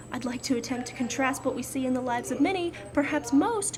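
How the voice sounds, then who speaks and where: With music in the background, a high-pitched woman talks at a fairly quick pace with lively intonation. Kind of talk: book reading. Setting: outdoors.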